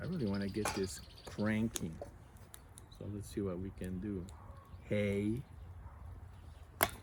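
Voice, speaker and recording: Speaking with an American accent, a man talks at a fairly slow pace with fairly even intonation, a somewhat breathy sound, and long, frequent pauses. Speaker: outdoor gear vlogger, navy veteran. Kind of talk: casual demonstration vlog. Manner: halting, many fillers.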